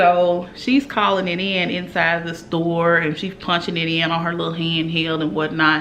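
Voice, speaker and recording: A woman's animated, fairly low voice, with audible room echo and noticeable background noise. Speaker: beauty YouTuber. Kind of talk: casual makeup review vlog with storytime rant. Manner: loud.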